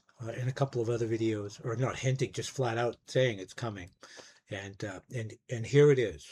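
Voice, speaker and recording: A man's somewhat breathy voice, medium in pitch, at a moderate pace. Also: ordinary pitch variation. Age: 60s. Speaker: music YouTuber, record collector. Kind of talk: casual monologue review.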